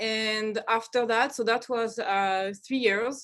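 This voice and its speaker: Speaking in a French accent, a woman uses a fairly high pitch, a fairly slow pace and monotone, flat intonation. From France, Normandy (Caen). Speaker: research scientist. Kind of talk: seminar talk. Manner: halting, many fillers.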